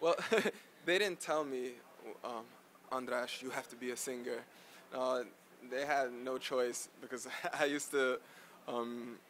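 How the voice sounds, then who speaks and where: At a moderate pace, a man talks in a flat monotone at a medium pitch. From New York, US. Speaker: singer. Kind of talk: interview.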